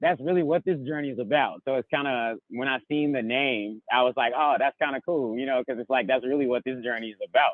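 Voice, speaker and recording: A man with an ordinary speaking voice talks at a medium pitch. His pace is fairly quick and his intonation fairly even. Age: 20s. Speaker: van-life traveler. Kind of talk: casual chat.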